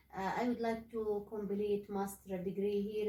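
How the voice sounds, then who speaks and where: A woman talks with an Arabic accent. Her intonation stays flat and monotone. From Saudi Arabia. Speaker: graduate student. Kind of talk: casual discussion. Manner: halting, many fillers.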